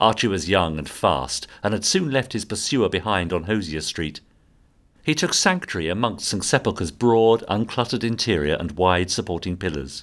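The speaker talks at a moderate pace with a British accent and lively intonation. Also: man, fairly low pitch for a man. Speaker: audio drama narrator. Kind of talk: dramatic scripted narration of a Victorian murder story, atmospheric and suspenseful.

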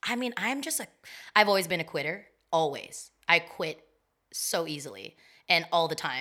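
A woman with a fairly low pitch speaks at a moderate pace in an animated tone, with very wide pitch swings. She leaves long, frequent pauses, and the recording is very clean with a silent background. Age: 30s. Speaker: roller skater. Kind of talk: casual chat.

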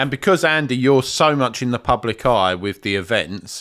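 With an English accent and very wide pitch swings, the speaker talks at a moderate pace in a very clean recording with a silent background. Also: man. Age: 40s. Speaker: podcast host. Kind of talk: casual chat. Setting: studio.

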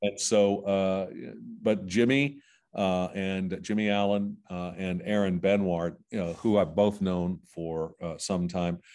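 In a Midwestern American accent, a man speaks at a very slow pace with a very deep, low pitch. His intonation is fairly even, and the background is quiet. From southwest Ohio. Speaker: music industry executive. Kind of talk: interview. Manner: halting, many fillers and repeated words.

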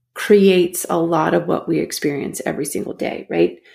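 The voice has vocal fry and moves at a moderate pace. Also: woman. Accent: American. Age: 40s. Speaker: mental performance coach. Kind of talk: interview.

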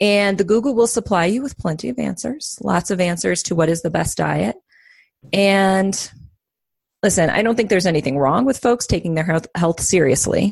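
With vocal fry and lively intonation, a woman speaks at a medium pitch and a moderate pace against a quiet background. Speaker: psychotherapist and life coach. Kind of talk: casual chat.

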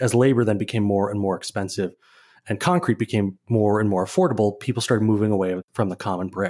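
A man with a plain, everyday voice speaks at a fairly low pitch and fairly quick pace, with ordinary pitch variation. The recording is very clean, with a silent background. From Minnesota (Saint Paul). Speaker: architecture photographer and writer. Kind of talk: interview.

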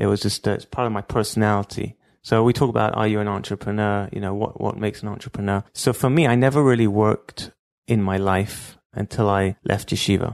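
In dry, close sound with no echo and a quiet background, a man speaks with fairly even intonation at a fairly low pitch. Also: fairly quick pace. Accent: London. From London, England (Stamford Hill). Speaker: entrepreneur, call center founder. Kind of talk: interview storytelling.

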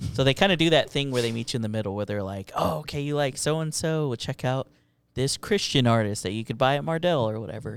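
Very fast, lively intonation on a very clean recording with a silent background. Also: man, medium pitch for a man. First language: Spanish. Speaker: podcast host. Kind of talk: casual chat. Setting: studio.

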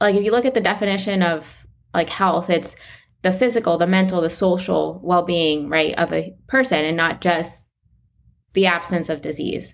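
On a very clean recording with a silent background, a woman with a South Florida accent speaks at a medium pitch with ordinary pitch variation. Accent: American, South Florida. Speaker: integrative medicine doctor. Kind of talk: interview.

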